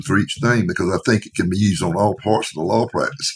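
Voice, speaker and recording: This man speaks at a fairly quick pace in a fairly low pitch. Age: 60s. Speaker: law firm owner and lawyer marketing association founder. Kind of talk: podcast interview. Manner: casual, animated.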